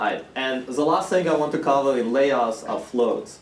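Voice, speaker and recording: A man with a non-native accent speaks at a moderate pace and fairly high pitch, with noticeable background noise and audible room echo. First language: not English. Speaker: university course lecturer. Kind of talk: lecture. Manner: casual, with filler words.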